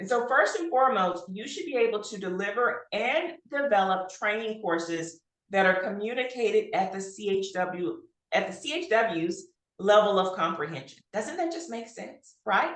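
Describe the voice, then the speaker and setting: A woman speaks at a medium pitch. Her voice moves in very wide pitch swings. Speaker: health workforce trainer. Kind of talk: webinar presentation. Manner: fast.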